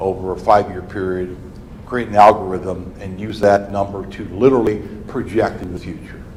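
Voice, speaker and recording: A man with an American accent and a fairly low pitch, talking at a moderate pace, with audible room echo and noticeable background noise. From Indiana (Fort Wayne), US Midwest. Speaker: demographer presenting enrollment forecasts. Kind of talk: presentation to school board. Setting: school board work session.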